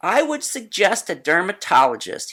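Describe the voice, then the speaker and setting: A man's put-on character voice, high in pitch, with very wide pitch swings at a moderate pace. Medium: read story. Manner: blunt, matter-of-fact.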